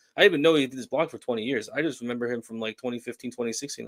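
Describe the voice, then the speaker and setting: The intonation stays fairly even. The speaker has a New Jersey accent. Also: man. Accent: New Jersey accent, heard as Massachusetts. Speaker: paranormal show co-guest. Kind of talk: casual chat.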